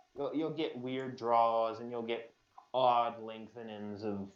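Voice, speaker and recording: A medium-pitched man with an American accent at a fairly slow pace. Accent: northern US, inconsistent. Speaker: podcast co-host. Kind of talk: casual chat.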